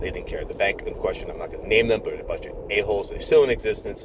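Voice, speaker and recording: There is noticeable background noise as a man talks at an extremely high pitch with fairly even intonation. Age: 50s. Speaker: nurse. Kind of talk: casual chat. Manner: rambling, repetitive. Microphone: poor sound quality.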